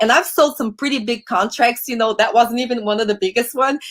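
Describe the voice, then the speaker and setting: Speaking at a fairly quick pace, a woman with a Brazilian accent has a fairly high pitch. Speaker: podcast host and sales coach. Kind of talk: casual interview chat. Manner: animated.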